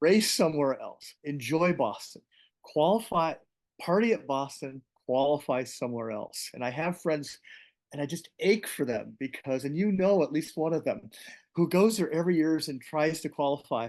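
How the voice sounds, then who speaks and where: In a normal speaking voice, a man talks at a moderate pace with a fairly high pitch and ordinary pitch variation over a quiet background. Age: 60s. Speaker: paraplegic marathoner and doctor. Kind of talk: interview conversation.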